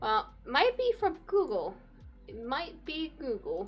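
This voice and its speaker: A woman speaking very slowly, with music in the background. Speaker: streamer. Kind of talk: casual chat. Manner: quiet.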